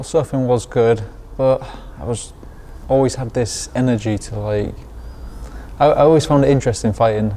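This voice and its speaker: A man speaks with long, frequent pauses against noticeable background noise. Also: medium pitch for a man, ordinary pitch variation, moderate pace. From Lanzarote, Spain (English parents). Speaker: professional boxer. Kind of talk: interview.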